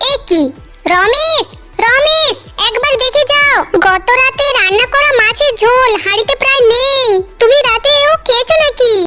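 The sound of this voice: In a cartoonish character voice, a woman squeaks at an extremely high pitch, keeping her loudness very even and her pace fairly slow while clear music plays in the background.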